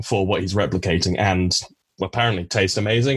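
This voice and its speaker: A somewhat breathy male voice at a fairly low pitch. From Cornwall, England. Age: 20s. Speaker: biology graduate. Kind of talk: casual chat. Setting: video call.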